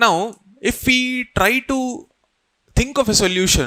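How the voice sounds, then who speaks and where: The man's tone is bright and sharp, his voice raised and projected. His intonation is lively. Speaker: exam coaching teacher. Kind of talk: lecture.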